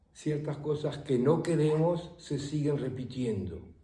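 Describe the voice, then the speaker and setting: Pitched fairly high, a man speaks with a dark, mellow tone and ordinary pitch variation. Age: 80s+. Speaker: meditation teacher; voice of Spanish course translations. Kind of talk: interview answer.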